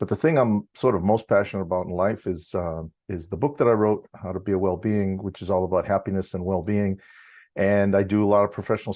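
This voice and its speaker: In a quiet setting, a man speaks fairly quickly with a fairly low pitch, a dark, mellow tone and fairly even intonation. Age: 60s. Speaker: university lecturer and drum student. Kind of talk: interview.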